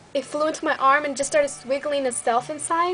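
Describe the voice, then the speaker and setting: An animated woman with a slight Mexican accent, heard over noticeable background noise. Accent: Mexican-Spanish tinge in English. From Mexico (Michoacán), raised in US. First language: Spanish. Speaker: beauty vlogger, army soldier. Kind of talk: casual vlog chat.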